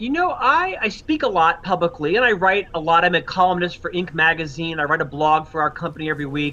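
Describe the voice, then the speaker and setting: Against noticeable background noise, a man speaks at a fairly quick pace with a high pitch and ordinary pitch variation. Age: 50s. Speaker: author and leadership consultant. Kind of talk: interview.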